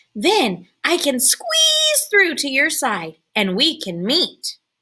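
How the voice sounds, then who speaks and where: Using a put-on character voice, a woman with a high pitch and an upbeat tone speaks at a very slow pace. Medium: read story. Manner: friendly, upbeat.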